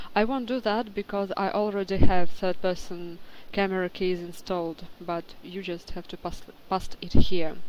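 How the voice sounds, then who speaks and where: A woman with a non-native accent at medium pitch, with fairly even intonation, a moderate pace and big swings in loudness. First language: not English. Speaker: game modder. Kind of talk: tutorial. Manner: halting, many fillers.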